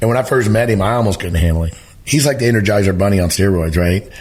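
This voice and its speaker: An animated, very fast man with an American accent, fairly low pitch and ordinary pitch variation. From Missouri. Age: 60s. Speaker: elk hunting educator. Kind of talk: podcast interview.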